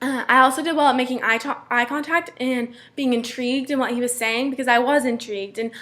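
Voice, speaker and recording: Mumbling in monotone, flat intonation, a woman speaks at high pitch with a bright, sharp tone. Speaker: student. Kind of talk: class presentation. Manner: fast.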